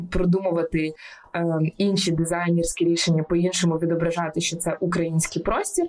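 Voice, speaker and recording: Over noticeable background noise, a woman with a fairly low voice talks fairly quickly in a flat monotone. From Ukraine, Kyiv. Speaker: entrepreneur. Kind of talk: interview conversation. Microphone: sound quality varies due to technical issues.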